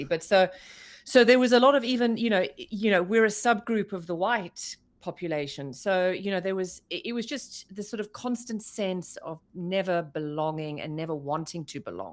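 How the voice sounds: In a very clean recording with a silent background, a woman with a South African accent speaks with lively intonation and big swings in loudness. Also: medium pitch for a woman, moderate pace.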